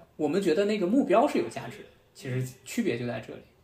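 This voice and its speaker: Somewhat breathy, this man's voice moves through very wide pitch swings. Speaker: podcast host, former media worker, student. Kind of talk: casual chat.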